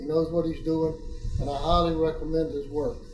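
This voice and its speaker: A man with a fairly high pitch talks at a moderate pace in a monotone, flat way. Audible room echo and noticeable background noise come through. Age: 70s. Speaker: patient. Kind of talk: testimony. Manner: halting, with frequent fillers.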